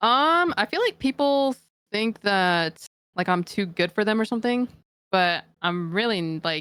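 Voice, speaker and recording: The voice moves at a fairly slow pace with very even loudness, in a very clean recording with a silent background and a dry, close sound with no echo. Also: woman, medium pitch for a woman. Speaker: esports pro player. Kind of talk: podcast interview. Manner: monotone; casual, filler-heavy.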